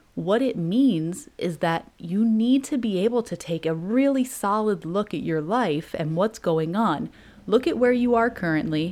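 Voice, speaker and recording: Speaking at a fairly slow pace, a woman uses a warm tone, a medium pitch and lively intonation. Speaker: podcast host and motivational coach. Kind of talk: pep talk. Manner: animated, hyped-up, urgent and punchy; warm, direct, sisterly.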